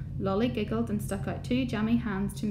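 The passage is read aloud in a natural voice.

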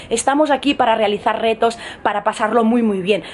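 Light background noise sits under the recording. A woman talks with ordinary pitch variation. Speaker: fitness vlogger. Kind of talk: casual vlog chat. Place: home room. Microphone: phone near.

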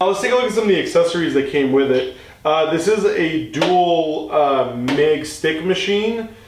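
With lively intonation, a man speaks over light background noise and audible room echo. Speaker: product reviewer. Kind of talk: product review tutorial. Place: garage.

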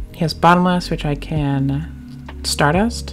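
A woman's voice over music in the background. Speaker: card game player and content creator; game commentator. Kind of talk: casual talk to camera, gameplay commentary.

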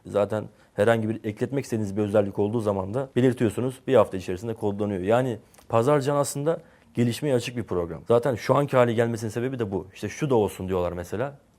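A man speaks at a very fast pace in a medium pitch. His tone is dark and mellow, with ordinary pitch variation. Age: 20s. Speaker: software entrepreneur. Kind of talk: interview.

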